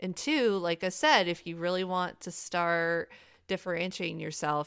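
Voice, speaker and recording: A woman with an American accent and an unremarkable speaking voice, fairly low in pitch with fairly even intonation, on a very clean recording with a silent background. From Michigan, US. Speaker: podcaster and Halloween enthusiast. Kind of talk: casual interview chat.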